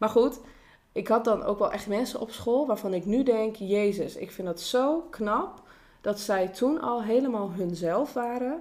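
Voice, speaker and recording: A woman's fairly high voice, a plain, everyday voice, with lively intonation and a fairly slow pace. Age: 20s. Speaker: social worker. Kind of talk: casual chat.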